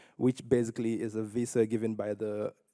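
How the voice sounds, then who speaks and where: In a Nigerian accent, a man speaks with a dark, mellow tone, fairly low pitch and monotone, flat intonation, recorded with a dry, close sound and no echo. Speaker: poet. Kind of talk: personal story at a conference. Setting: stage with audience.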